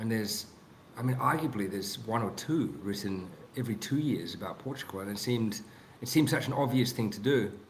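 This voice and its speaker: A man with a New Zealand accent at a very fast pace, with audible room echo. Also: medium pitch for a man, ordinary pitch variation. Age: 30s. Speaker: author. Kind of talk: podcast interview. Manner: halting, many restarts.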